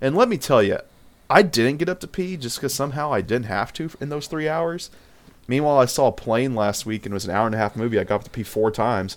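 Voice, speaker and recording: A man at a very fast pace, medium in pitch, with lively intonation. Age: 20s. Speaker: podcast co-host. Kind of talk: casual chat.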